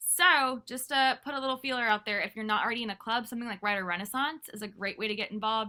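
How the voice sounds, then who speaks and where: In an American accent, a woman talks at a very fast pace with a bright, sharp tone. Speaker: teacher. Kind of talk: recorded class lesson. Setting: pre-recorded video lesson. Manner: casual, filler-heavy.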